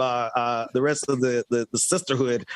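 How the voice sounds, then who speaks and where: A man with a Southern accent speaks at a moderate pace in an animated tone. Noticeable background noise runs behind him. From US South, Mississippi. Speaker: talk show host. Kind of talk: casual chat.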